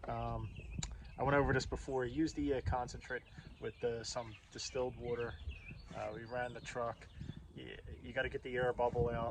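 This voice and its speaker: Noticeable background noise sits behind this recording. A man with an American accent speaks at a fairly quick pace. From US Northeast, Philadelphia. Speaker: DIY auto mechanic video host. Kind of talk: tutorial. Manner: casual, halting with fillers.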